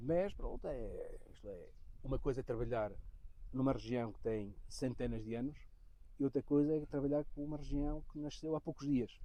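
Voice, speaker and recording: In a Portuguese accent, a man talks at a moderate pace. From Portugal. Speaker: winemaker / viticulturist. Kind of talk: interview.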